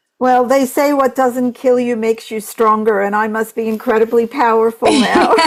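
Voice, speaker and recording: A woman with an American accent, fairly high in pitch, at a moderate pace with fairly even intonation and hardly any pauses, over noticeable background noise. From US, Brooklyn, New York. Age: 60s. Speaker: health freedom activist. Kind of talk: interview.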